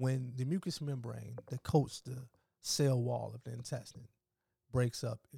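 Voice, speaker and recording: Dry and close with no echo, a man's somewhat breathy voice has a dark, mellow tone, medium pitch, fairly even intonation and a moderate pace. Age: 30s. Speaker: alkaline vegan health advocate. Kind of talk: casual chat.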